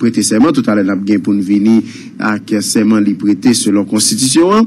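Amid noticeable background noise, the pitch rises and falls in an ordinary way. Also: man. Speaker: news reporter. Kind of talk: news report. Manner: halting.

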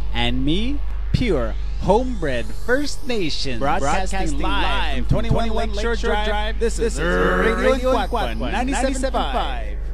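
Moderate-paced male speech over background music. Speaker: voice actor. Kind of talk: radio station ID.

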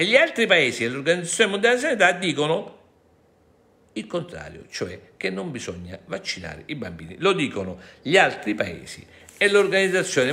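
This man's animated delivery has a bright, sharp tone, vocal fry, very wide pitch swings and big swings in loudness. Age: 60s. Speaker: lawyer and activist; lawyer. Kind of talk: monologue to viewers. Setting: studio. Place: home room. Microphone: phone near.

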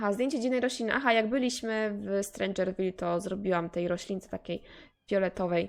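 An unremarkable speaking voice from a woman, medium in pitch, with ordinary pitch variation and a fairly quick pace. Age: 20s. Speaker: gaming youtuber. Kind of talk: let's play commentary. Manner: casual, chatty.

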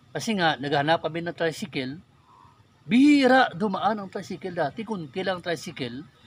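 A man's normal speaking voice, lively in intonation, at a moderate pace. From Philippines, Negros Occidental; Philippines. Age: 40s. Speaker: YouTuber, religious and political commentator; YouTuber, political commentator. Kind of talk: personal testimony and political commentary. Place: forest. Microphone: phone near.

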